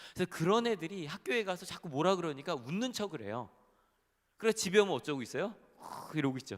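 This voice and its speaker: Very wide pitch swings mark this man's animated tone as he talks at a very fast pace. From Incheon, South Korea. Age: young. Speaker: pastor. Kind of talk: sermon. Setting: church.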